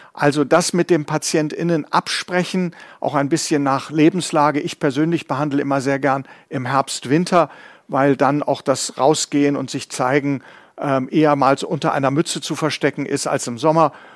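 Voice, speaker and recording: This man uses a normal speaking voice, fairly high in pitch with fairly even intonation. The sound is dry and close with no echo, and the recording is very clean against a silent background. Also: moderate pace. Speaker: professor and physician co-host. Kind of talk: live quiz-show hosting.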